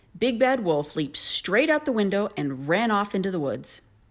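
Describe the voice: Someone is plainly reading aloud.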